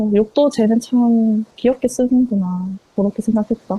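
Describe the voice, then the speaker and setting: A somewhat breathy woman with a fairly high pitch and a strong Gyeongsang accent, at a fairly slow pace. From Ulsan, Korea. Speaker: customer consultant. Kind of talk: interview answer. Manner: casual, conversational.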